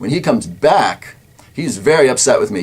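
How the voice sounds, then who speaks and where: A man is talking, and noticeable noise can be heard in the background. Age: 20s. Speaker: political talk show host. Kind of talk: personal account.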